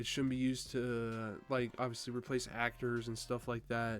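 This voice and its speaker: Music plays in the background. A man talks at a medium pitch and a moderate pace. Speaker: youtuber. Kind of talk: casual rant to camera. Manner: casual with fillers.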